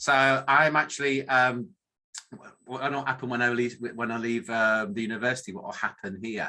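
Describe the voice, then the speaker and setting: A man's medium-pitched voice with a northern English accent, a bright, sharp tone, ordinary pitch variation and a moderate pace. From northern England. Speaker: academic statistician, professor. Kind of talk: presentation talk. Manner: hesitant with many fillers.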